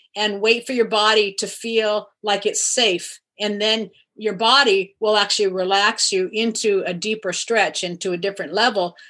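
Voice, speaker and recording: A woman speaks in a Pacific Northwest accent with a bright, sharp tone. Her pace is moderate, and the background is quiet. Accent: general American, Pacific Northwest. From Kirkland, Washington, US. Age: 60s. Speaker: CrossFit athlete, 65+ champion. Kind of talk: casual interview.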